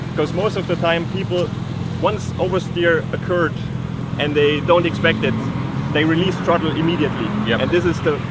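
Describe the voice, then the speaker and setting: A man talks at a fairly quick pace. Loud background noise surrounds his voice, which sounds dry with no echo. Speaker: drift instructor. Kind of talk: interview answer. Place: open country.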